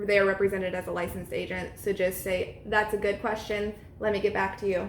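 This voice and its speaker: Over noticeable background noise, a woman's words come out at a very fast pace. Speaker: real estate agent and trainer. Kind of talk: training talk. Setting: at an open house.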